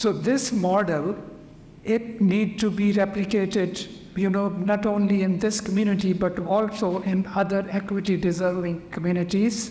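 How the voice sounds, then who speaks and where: Noticeable background noise is present. Over it, the speech proceeds at a moderate pace. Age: 70s. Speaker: community health ambassador. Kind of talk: interview.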